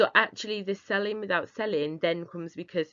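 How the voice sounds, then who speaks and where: A woman with a Northern English accent at a moderate pace. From northeast England. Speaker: business founder. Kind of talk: webinar presentation.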